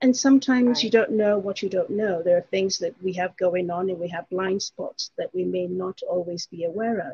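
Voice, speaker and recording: Somewhat breathy, with a dark, mellow tone, a woman speaks at a medium pitch with ordinary pitch variation and hardly any pauses. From England. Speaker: life coach. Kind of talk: casual interview chat.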